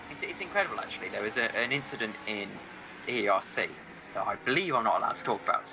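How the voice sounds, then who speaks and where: Over noticeable background noise, a man with an English Midlands accent speaks at a very fast pace. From England, Staffordshire. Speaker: sim racing commentator. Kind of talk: casual chat.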